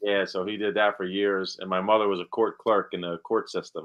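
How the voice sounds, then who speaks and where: The speaker talks at a moderate pace with a New Jersey accent. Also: man. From New Jersey, Monmouth County. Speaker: actor. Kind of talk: casual interview chat.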